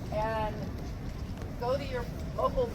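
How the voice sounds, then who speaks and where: A woman talks at a fairly slow pace, her voice carrying audible room echo amid noticeable background noise. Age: 70s. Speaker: protest speaker. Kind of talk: rally speech. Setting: outdoor rally at state house. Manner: halting.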